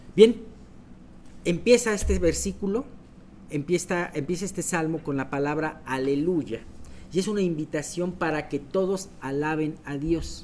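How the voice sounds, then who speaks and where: Fairly slow and fairly high-pitched, a man talks in an unremarkable speaking voice. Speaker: Bible study leader. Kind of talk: Bible study teaching. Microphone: voice echoing, sounded doubled.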